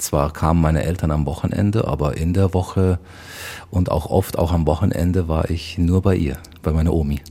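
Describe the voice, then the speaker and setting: The intonation stays fairly even as the words come at a moderate pace. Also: man. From Bavaria (rural village near Munich). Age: 40s. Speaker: community volunteer and father. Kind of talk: interview conversation. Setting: mosque in Munich old town.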